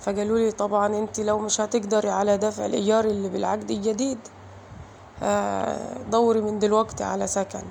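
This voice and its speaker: A woman with an Egyptian accent, at a moderate pace. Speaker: vlogger mother. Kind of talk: emotional personal vlog. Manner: emotional, halting.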